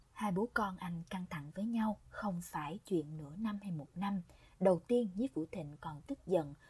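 At a fairly slow pace, a woman with a dark, mellow, somewhat breathy tone speaks with lively intonation. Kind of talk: audiobook narration, reading a novel aloud. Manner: even, storytelling pace, measured.

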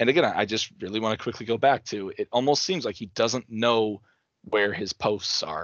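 A plain, everyday voice speaks at a moderate pace. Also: man. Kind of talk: post-game hockey analysis, recapping plays. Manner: conversational, detailed play-by-play breakdown with self-corrections.

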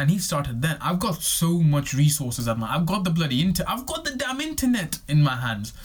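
Hardly pausing, a man talks at a fairly quick pace in a fairly high voice with very wide pitch swings. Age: 20s. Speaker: podcast host. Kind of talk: solo monologue. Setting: recording on camera. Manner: halting, many repetitions.

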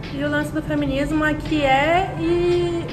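A woman's high voice makes very wide pitch swings. Audible room echo and noticeable background noise surround her. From Brazil, interior. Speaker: podcast co-host, public relations professional. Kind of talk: casual chat.

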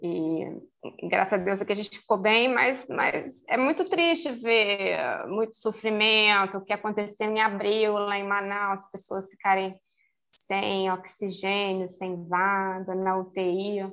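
Her tone bright and sharp, a woman speaks at a medium pitch and a very slow pace. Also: ordinary pitch variation. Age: 50s. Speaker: court office assistant. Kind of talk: casual interview. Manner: halting, many repetitions.

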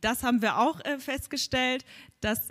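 A woman with an unremarkable speaking voice talks at a moderate pace, her pitch varying in the usual way. The recording is very clean, with a silent background. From Hamburg. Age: 20s. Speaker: podcast host and children's gym instructor. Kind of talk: live podcast at a congress. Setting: stage with audience.

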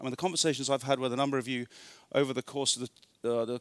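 A man with an English accent speaks at a fairly high pitch. The recording is very clean, with a silent background. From northern England. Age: 40s. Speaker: retreat speaker. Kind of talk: sermon.

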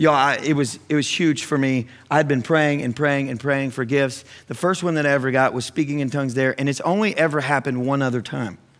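In a very clean recording with a silent background, a man with a fairly high pitch speaks at a fairly quick pace. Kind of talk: sermon. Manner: animated, exuberant call-and-response preaching, punchy and conversational; rallying the congregation with exclamations and urgent altar-call appeals.

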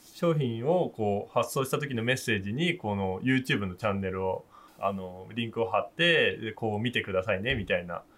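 Speaking at a medium pitch and moderate pace, a man has an ordinary speaking voice with lively intonation. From Japan, Akita (Nikaho). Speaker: fisherman. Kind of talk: casual chat. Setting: video call.

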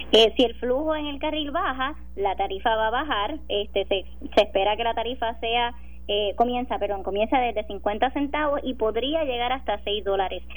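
A woman's fairly high voice at a moderate pace, ordinary pitch variation, noticeable background noise. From Puerto Rico, Sabana Grande. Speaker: government official. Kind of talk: radio interview.

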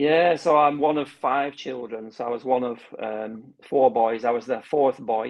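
A man speaks with a Lancashire accent at a medium pitch. His pace is fairly slow. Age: 50s. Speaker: heart failure patient educator and gardener. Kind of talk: casual interview.

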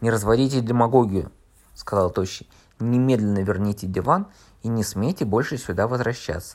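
The voice reads in an unforced way. Pitch moves with ordinary variation.

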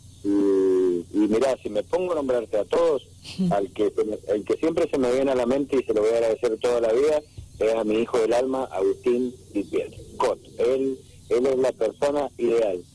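At a moderate pace, a man uses a normal speaking voice with medium pitch, ordinary pitch variation and very even loudness. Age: 40s. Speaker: racing driver. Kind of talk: interview.

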